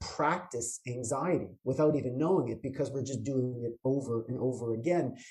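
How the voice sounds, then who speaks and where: In a Canadian accent, a man with a plain, everyday voice talks at a fairly quick pace and a medium pitch. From Canada, Toronto. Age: 50s. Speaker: chiropractor. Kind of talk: interview.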